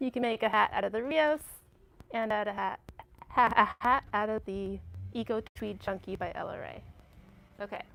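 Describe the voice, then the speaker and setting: With a Massachusetts accent, a woman speaks at a moderate pace, pausing long and often. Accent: New England (Massachusetts). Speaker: yarn shop staff, co-host. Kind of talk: casual chat. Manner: animated.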